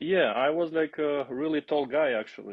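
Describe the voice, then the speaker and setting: A man with an Albanian accent. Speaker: aviation maintenance student and former basketball player. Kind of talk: podcast interview. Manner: halting.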